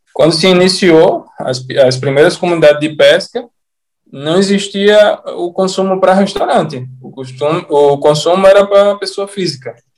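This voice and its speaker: Ordinary pitch variation and a moderate pace mark a man with an ordinary speaking voice. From Natal, Rio Grande do Norte, Brazil. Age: 30s. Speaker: sushi chef. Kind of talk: casual interview chat.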